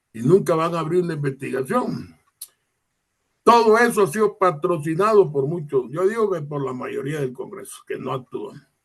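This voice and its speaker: This man speaks at a moderate pace, his high-pitched voice rising and falling with lively intonation. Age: 70s. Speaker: lawyer. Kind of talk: interview discussion.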